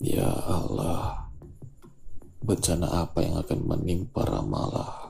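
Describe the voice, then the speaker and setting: A man at a very slow pace with very wide pitch swings, over noticeable background noise. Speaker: audiobook narrator. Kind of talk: literary audiobook reading of a short story, scripted narration. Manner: measured, even storytelling pace with a steady, expressive narrator tone.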